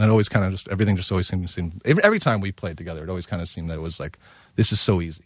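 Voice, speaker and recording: A man with an American accent speaks very fast in a very deep, low pitch, with ordinary pitch variation and big swings in loudness. The recording is very clean, with a silent background. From US, Long Island. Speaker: chef. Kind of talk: casual chat.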